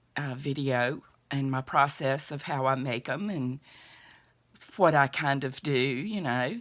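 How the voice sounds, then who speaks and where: A woman speaks at a very deep, low pitch with ordinary pitch variation. Her pace is fairly slow, with long, frequent pauses. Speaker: crochet podcast host. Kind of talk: casual chat. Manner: chatty, hesitant with fillers.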